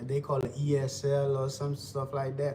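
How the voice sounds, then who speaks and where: A man with a Haitian accent talks at a fairly slow pace in a fairly high pitch, his tone relaxed and somewhat breathy. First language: Haitian Creole. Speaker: livestreamer. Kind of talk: casual livestream chat while cooking. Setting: live stream. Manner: relaxed, repetitive.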